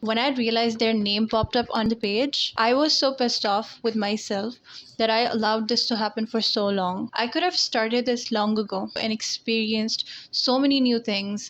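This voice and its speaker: At a moderate pace, a woman with a fairly high pitch speaks at a very even loudness with fairly even intonation. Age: 20s. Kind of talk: casual talk to camera. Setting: low-quality headset-style mic.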